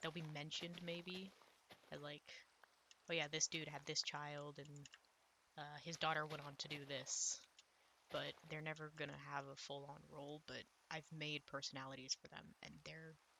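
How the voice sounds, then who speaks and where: A soft-spoken woman with a very deep, low pitch and a bright, sharp tone, monotone and flat, at a moderate pace with long, frequent pauses. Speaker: gaming YouTuber and author. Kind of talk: casual gameplay commentary. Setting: recording at home with others in the house. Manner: quiet, soft-spoken; rambling, hesitant with fillers.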